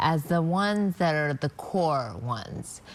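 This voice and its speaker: A woman talks with lively intonation while noticeable background noise plays behind her. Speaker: author and doctor. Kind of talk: TV news interview. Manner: slurred speech; halting.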